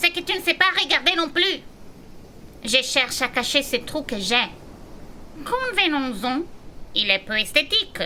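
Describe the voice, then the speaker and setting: Over clear background noise, a high-pitched, put-on character voice speaks with long, frequent pauses. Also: moderate pace. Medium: audio drama. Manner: prim, slightly formal.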